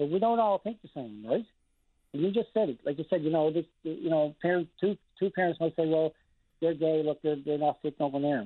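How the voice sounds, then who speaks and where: Speaking with a Newfoundland accent, a man with a fairly high voice talks at a fairly quick pace with ordinary pitch variation. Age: 50s. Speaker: caller, parent. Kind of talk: phone-in call.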